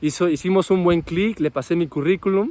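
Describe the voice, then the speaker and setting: A man has an unremarkable speaking voice with ordinary pitch variation at a moderate pace. The sound is dry and close with no echo. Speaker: winemaker and wine podcast host. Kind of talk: casual vlog monologue. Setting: outdoors after a run.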